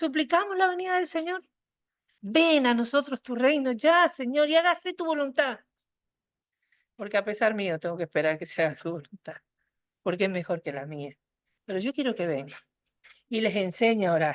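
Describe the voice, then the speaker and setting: A woman's fairly high voice with very wide pitch swings, a moderate pace and long, frequent pauses, dry and close with no echo over a quiet background. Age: 60s. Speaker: women's meeting speaker. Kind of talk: sermon.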